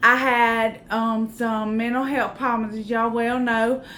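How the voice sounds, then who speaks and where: In a Southern US accent, a woman speaks at a fairly slow pace with a bright, sharp tone. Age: 40s. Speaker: YouTuber, vlogger. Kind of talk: casual vlog chat. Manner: chatty, informal.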